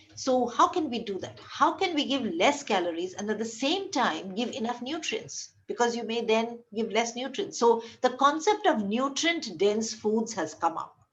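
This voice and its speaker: A woman talks in a fairly high pitch. Her pitch swings very widely. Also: moderate pace, hardly any pauses. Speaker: medical lecturer. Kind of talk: lecture.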